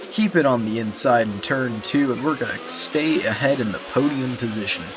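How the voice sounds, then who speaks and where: Music runs in the background while a man's medium-pitched voice moves with lively intonation. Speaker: gamer. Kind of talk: gameplay commentary. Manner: casual.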